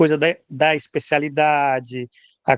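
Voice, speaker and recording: A man's fairly high voice at a fairly slow pace. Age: 60s. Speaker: political commentator. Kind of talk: casual chat. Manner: animated; halting.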